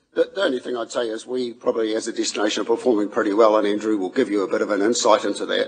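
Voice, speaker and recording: Over noticeable background noise, the speech races along very fast with hardly any pauses. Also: man. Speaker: council staff presenter. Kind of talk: committee meeting presentation. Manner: hesitant, many fillers.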